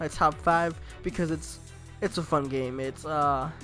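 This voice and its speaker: Music plays in the background. The pace is very slow. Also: man. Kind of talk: casual talk to camera.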